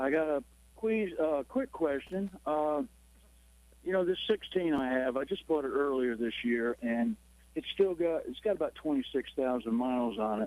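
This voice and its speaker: A man with an unremarkable speaking voice talks at a moderate pace, his fairly high pitch moving with lively intonation. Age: 60s. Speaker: caller. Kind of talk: call-in question.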